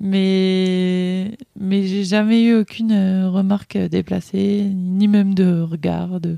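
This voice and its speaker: A woman's dark, mellow tone at a medium pitch, very slow and monotone, with flat intonation. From rural eastern France (Ain). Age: 30s. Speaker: manager, mother, interviewee. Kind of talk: casual interview conversation. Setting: at home in a village.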